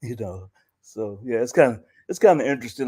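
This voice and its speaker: Talking at a fairly quick pace with an American accent, a man has a medium pitch, ordinary pitch variation and a dark, mellow tone. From US South. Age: 70s. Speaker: poet and musician. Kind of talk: interview.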